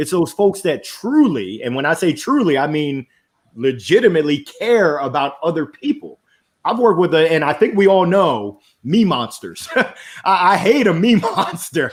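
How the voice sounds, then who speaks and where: Loud and high-pitched, a man speaks at a moderate pace with very wide pitch swings on a very clean recording with a silent background. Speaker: business consultant and motivational speaker. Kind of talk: podcast interview. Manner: animated.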